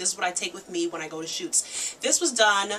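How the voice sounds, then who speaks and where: A woman at medium pitch at a very fast pace, with noticeable background noise. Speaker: makeup artist and beauty vlogger. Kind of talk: tutorial. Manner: casual.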